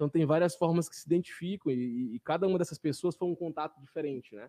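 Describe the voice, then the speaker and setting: A man's very fast speech at fairly high pitch, dark and mellow in tone, with ordinary pitch variation, dry and close with no echo, over a quiet background. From Brazil, Pará (Jacundá). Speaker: city councillor. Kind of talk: casual interview. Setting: small studio, live stream.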